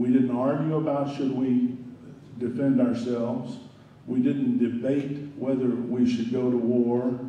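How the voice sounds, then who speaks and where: A man's medium-pitched, flat monotone at a fairly slow pace, with audible room echo and noticeable background noise. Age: 70s. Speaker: climate activist speaker. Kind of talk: conference talk.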